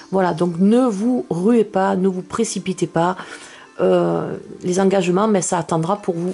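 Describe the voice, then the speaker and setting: There is noticeable background noise as a woman speaks at a medium pitch. Her pace is very slow, her loudness very even, and her intonation fairly even. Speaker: tarot card reader. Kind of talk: tarot reading video. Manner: hesitant, many fillers.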